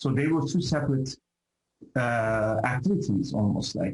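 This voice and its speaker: A somewhat breathy voice belongs to a man. He keeps a moderate pace. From Turkey. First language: Turkish. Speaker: professor. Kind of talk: interview. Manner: halting.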